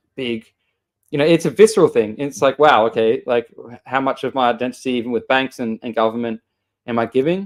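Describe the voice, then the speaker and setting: A man with an Australian accent talks at a fairly quick pace and medium pitch, with ordinary pitch variation and a dry, close sound with no echo. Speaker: show host. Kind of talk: casual chat. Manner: halting, many repeated words.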